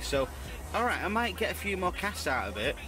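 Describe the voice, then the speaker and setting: Clear music plays behind a man speaking at a fairly quick pace. The sound is dry, with no echo. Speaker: angler vlogger. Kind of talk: casual vlog chat. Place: tent.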